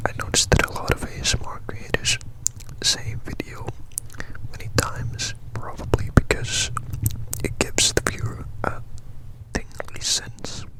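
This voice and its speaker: Whispering at a moderate pace with long, frequent pauses, the voice comes through noticeable background noise. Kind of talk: ASMR whispered talk. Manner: whispered, soft-spoken.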